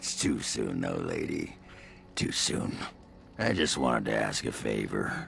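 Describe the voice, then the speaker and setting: A man puts on a raspy character voice, speaking at a fairly slow pace with long, frequent pauses over clear background noise. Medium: video game. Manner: gruff, coarse, rambling.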